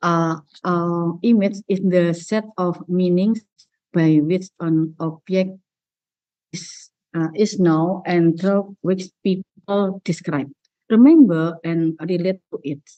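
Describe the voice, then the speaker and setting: A woman with an Indonesian accent speaks very slowly at a fairly low pitch. Her intonation stays fairly even. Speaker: university presenter. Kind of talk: academic presentation. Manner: halting. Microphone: connection lagging.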